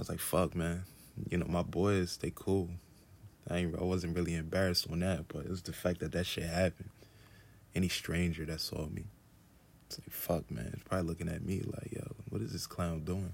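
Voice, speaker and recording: Speaking at a fairly quick pace but with long, frequent pauses, a man uses a very deep, low pitch and fairly even intonation. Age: 30s. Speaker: podcast host, artist. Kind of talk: solo casual monologue. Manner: laid-back, chill.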